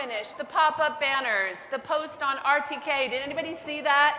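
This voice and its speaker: A woman's raised, projected voice with ordinary pitch variation, amid audible room echo and noticeable background noise. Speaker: head of school. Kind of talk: welcome speech. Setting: stage with audience. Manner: high energy.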